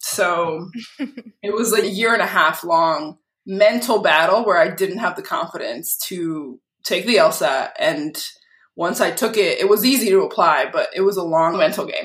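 In an American accent, a woman speaks at a fairly slow pace with medium pitch, ordinary pitch variation and an unremarkable speaking voice. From Massachusetts, Lynn (north of Boston). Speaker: lawyer. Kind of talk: casual interview.

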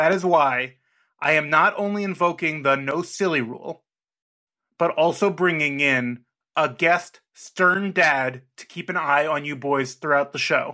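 A man's fairly high voice, bright and sharp in tone, at a fairly slow pace with ordinary pitch variation, on a very clean recording with a silent background. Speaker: podcast commissioner character. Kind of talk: formal mock statement. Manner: formal.

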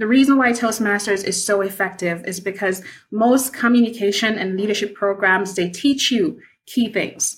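A woman talks at a moderate pace with ordinary pitch variation. Her voice is somewhat breathy. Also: medium pitch for a woman. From Jamaica, Kingston. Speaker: project manager and public speaking club leader. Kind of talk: interview. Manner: animated.

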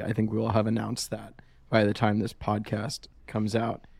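Fairly quick and medium in pitch, this man talks in a plain, everyday voice. It is a man speaking. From US South, Georgia. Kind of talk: casual chat.

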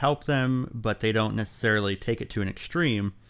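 Here a man talks in an ordinary speaking voice at a medium pitch and moderate pace, with ordinary pitch variation. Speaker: fan film producer. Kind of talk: casual panel discussion.

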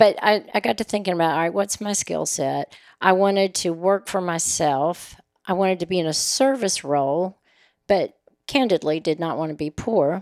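A woman speaks at a moderate pace and medium pitch with ordinary pitch variation in an unremarkable speaking voice, recorded very cleanly against a silent background with a dry, close sound and no echo. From Oklahoma, raised in Nashville, Tennessee. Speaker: personal concierge business owner. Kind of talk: casual interview.

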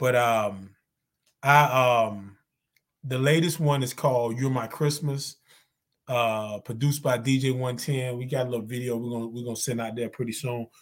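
A man with a North Carolina accent speaks in a medium pitch. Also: moderate pace. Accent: Southern US, North Carolina. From North Carolina (Zebulon). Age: 50s. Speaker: podcast host and musician. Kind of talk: casual chat. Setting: online stream. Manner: animated.

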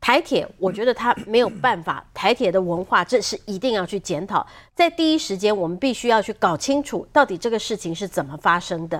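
A woman talks at a fairly quick pace with a fairly high pitch and very wide pitch swings. The recording is very clean with a silent background. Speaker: senior journalist. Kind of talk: political talk show commentary.

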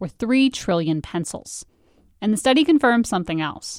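In an ordinary speaking voice, a woman talks at a fairly high pitch with lively intonation, the sound dry and close with no echo on a very clean recording with a silent background. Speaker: podcast host and narrator. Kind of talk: scripted narration.

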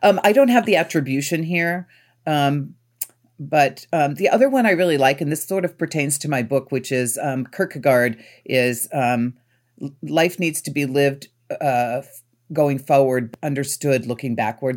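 Moderately paced speech from a woman, very deep and low in pitch, with ordinary pitch variation. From rural Pennsylvania. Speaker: nonprofit executive. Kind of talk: interview. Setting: video call.

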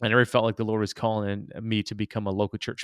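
With an American accent, a man talks at a fairly quick pace in a very clean recording with a silent background and a dry, close sound with no echo. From US Midwest, inner city Detroit (Hmong family). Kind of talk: interview. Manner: frequent fillers and restarts.

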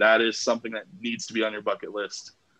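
An American accent at a very fast pace. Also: man. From Las Vegas, US. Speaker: sports podcast host. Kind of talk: casual chat.

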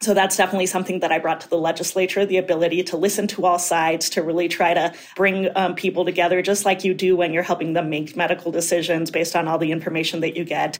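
Over noticeable background noise, a woman with a fairly low pitch talks very fast in a flat monotone, hardly pausing at all. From Colorado, Mexican immigrant family. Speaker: physician and state legislator running for Congress. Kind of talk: interview.

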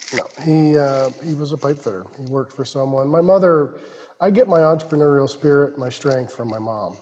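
A fairly high-pitched man with an American accent and ordinary pitch variation, against noticeable background noise. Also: fairly quick pace. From Ohio, US Midwest. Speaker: entrepreneur. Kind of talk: interview.

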